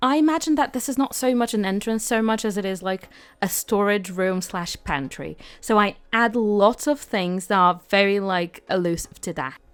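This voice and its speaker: A woman with a British accent, medium pitch and lively intonation at a moderate pace, on a very clean recording with a silent background. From Britain. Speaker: gaming YouTuber. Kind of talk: casual voiceover commentary. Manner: chatty, filler-heavy.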